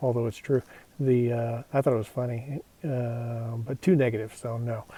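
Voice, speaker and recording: A man with an American accent speaks at a medium pitch and a moderate pace in a somewhat breathy, dark, mellow tone. His intonation stays fairly even. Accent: Texan, noticeable to Europeans. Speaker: hiking vlogger. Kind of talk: casual vlog narration. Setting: outdoors on a mountain trail. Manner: hesitant, many fillers.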